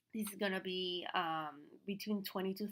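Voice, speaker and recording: A woman's bright, sharp tone in a Venezuelan accent, medium in pitch with fairly even intonation. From Venezuela, Caracas. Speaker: fashion stylist and business coach. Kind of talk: online class. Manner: casual, many fillers.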